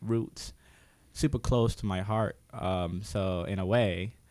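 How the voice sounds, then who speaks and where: A very clean recording with a silent background of a man in an American accent, his pitch variation ordinary. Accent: Americanized speech. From West Africa (Guinea/Liberia), to US age ~13. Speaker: painter. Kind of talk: casual chat. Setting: studio.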